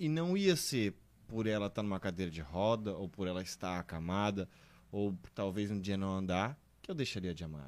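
This is a normal speaking voice from a man, fairly low in pitch. He keeps a moderate pace with ordinary pitch variation. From southern Brazil, Santa Catarina (Blumenau). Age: 30s. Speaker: guest, husband of the testimony giver. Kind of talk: testimony.

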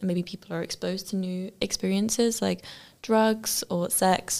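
On a very clean recording with a silent background, a woman with an English accent speaks at a medium pitch with fairly even intonation. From UK. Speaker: student podcast host. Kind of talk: interview.

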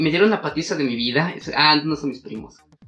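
A man speaks at a fairly quick pace with very wide pitch swings. Noticeable background noise runs underneath. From Mexico. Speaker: podcast co-host. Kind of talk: casual chat. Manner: animated.

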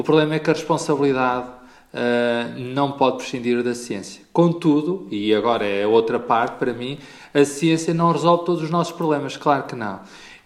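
Pace here is moderate, and the pitch varies in an ordinary way. Overall it is a plain, everyday voice. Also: man, fairly high pitch for a man. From Portugal, Pombal. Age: 40s. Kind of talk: interview.

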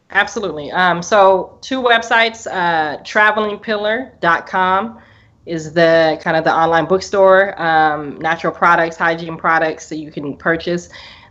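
A woman with an American accent speaks fairly slowly in a fairly low register, her pitch varying in an ordinary way. It is a plain, everyday voice, set against a quiet background. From US Northwest, Portland, Oregon. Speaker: business owner and course student. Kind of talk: interview testimony. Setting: video call.

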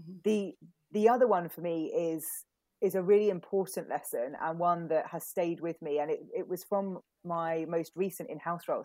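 Fairly even intonation, a fairly quick pace and a dark, mellow tone on a very clean recording with a silent background. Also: woman. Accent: British. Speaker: communications consultant. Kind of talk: casual interview.

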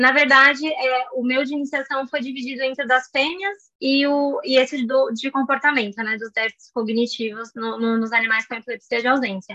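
Raising and projecting her high-pitched voice, a woman talks at a moderate pace with hardly any pauses, ordinary pitch variation and a bright, sharp tone, sounding dry and close with no echo. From Brazil, São Paulo. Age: 20s. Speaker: biology graduate and pre-master's student. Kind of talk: interview.

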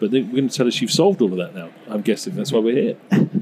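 A man's ordinary speaking voice at a medium pitch, with lively intonation. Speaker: co-host, professor. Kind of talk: casual chat.

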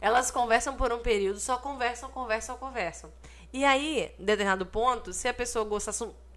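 In a Brazilian accent, a woman with a high pitch speaks with fairly even intonation. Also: moderate pace. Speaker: podcast co-host. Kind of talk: casual chat.

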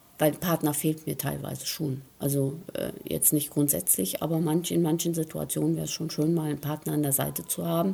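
Talking at a fairly quick pace, a woman leaves hardly any pauses. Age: 50s. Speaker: interviewee, mother at a spa stay. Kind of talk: interview.

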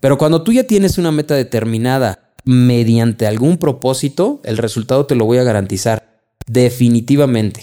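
With a Mexican accent, a man of medium pitch speaks at a moderate pace in a dark, mellow tone, his loudness very even. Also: ordinary pitch variation, hardly any pauses. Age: 30s. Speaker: insurance advisor and podcast host. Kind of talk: solo podcast monologue.

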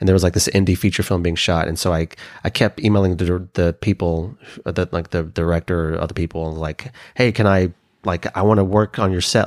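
Speaking very fast, a man with an American accent has a very deep, low pitch and fairly even intonation. The recording is very clean, with a silent background and a dry, close sound with no echo. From Oklahoma. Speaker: podcast host. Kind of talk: casual chat.

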